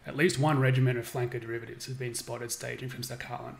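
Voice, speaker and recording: A man talks at a very fast pace in a medium pitch with monotone, flat intonation. There is noticeable background noise. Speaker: game developer streaming gameplay. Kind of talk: reading aloud a game briefing on a live stream. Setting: live stream with chat.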